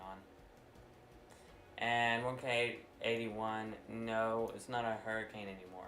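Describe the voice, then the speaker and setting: Loud, bright, sharp-toned speech from a man at medium pitch, with long, frequent pauses and audible room echo. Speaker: weather livestreamer. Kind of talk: casual livestream chat. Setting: live stream.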